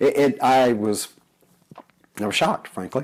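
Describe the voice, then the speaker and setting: The man speaks with ordinary pitch variation. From United States. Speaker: religious video blogger. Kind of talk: casual talk to camera. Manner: halting, many fillers.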